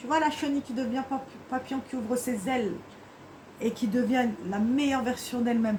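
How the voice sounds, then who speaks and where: Amid noticeable background noise, a woman with a high pitch talks at a fairly quick pace with fairly even intonation and long, frequent pauses. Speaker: tarot card reader. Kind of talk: tarot reading guidance. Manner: fast; halting.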